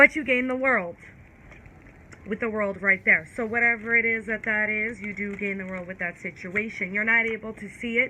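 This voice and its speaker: In an American accent, a woman talks at a moderate pace with a fairly high pitch and fairly even intonation. Her loudness swings widely. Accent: New York accent, strong at times. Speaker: tarot reader. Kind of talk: casual tarot reading and candle magic talk. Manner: casual, stumbling over words.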